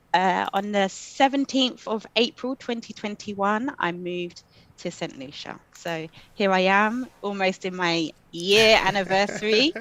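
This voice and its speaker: With a London accent, a woman speaks at a fairly slow pace, her pitch medium and its variation ordinary. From London, England. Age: 40s. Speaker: coach and social worker. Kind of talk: interview.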